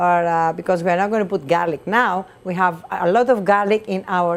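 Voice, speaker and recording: A woman with a Greek accent at a moderate pace, fairly low in pitch, ordinary pitch variation and hardly any pauses. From Greece. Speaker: chef and restaurant owner. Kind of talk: cooking demonstration. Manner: animated.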